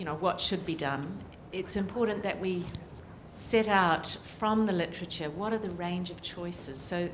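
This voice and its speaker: With a New Zealand accent, a woman talks at a medium pitch and a fairly slow pace, with ordinary pitch variation and audible room echo. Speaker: political scientist, climate report author. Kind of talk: panel discussion.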